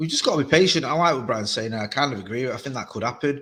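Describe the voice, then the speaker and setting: A man's medium-pitched voice, very fast, with lively intonation. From England. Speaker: football podcaster. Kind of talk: casual chat.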